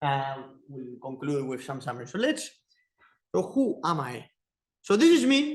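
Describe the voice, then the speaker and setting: A man with an Argentine accent, at a fairly slow pace. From Argentina. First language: Spanish. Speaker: teaching assistant giving guest lecture. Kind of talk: lecture. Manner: halting.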